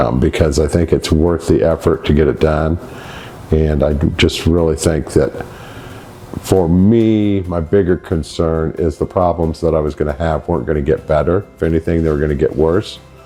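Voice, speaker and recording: At a moderate pace and with fairly even intonation, the voice comes through noticeable background noise. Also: man, very deep, low pitch for a man. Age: 60s. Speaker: patient giving testimonial. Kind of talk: testimony. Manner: halting.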